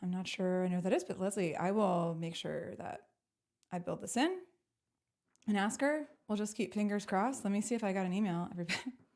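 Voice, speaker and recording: Her pace very fast yet broken by long, frequent pauses, a woman speaks at a medium pitch with ordinary pitch variation. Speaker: talk show host. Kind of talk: live interview show chat. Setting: live stream video call. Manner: animated.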